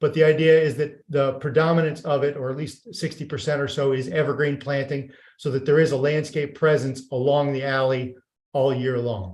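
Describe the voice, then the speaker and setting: Somewhat breathy and fairly high-pitched, a man speaks with fairly even intonation. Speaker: architect presenting development project. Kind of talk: project presentation at public meeting. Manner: fast.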